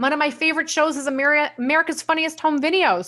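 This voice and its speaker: A woman with a New York accent speaks in a bright, sharp tone. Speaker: sales trainer, company owner. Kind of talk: live software training. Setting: live stream.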